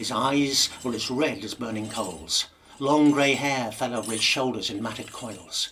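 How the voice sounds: This is a natural reading voice. It reads the text aloud.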